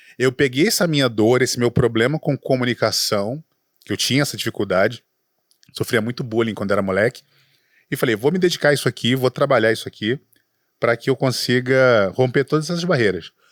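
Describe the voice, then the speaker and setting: A man at a fairly quick pace with ordinary pitch variation, on a very clean recording with a silent background and a dry, close sound with no echo. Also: medium pitch for a man. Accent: Rio de Janeiro. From Rio de Janeiro, Brazil. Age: 40s. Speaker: entrepreneur, startup specialist, former radio broadcaster. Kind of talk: podcast interview. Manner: stutters when nervous.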